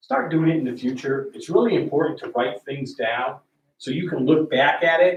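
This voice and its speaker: A man speaks at a moderate pace and a fairly high pitch. His is a plain, everyday voice. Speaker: military veteran and team trainer. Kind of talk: training talk to a group.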